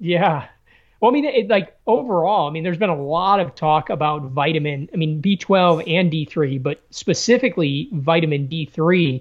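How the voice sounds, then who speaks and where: This man talks at a moderate pace with an American accent. His voice is high, with ordinary pitch variation. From Chicago, South Side. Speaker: former Navy SEAL officer, entrepreneur. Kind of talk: casual interview.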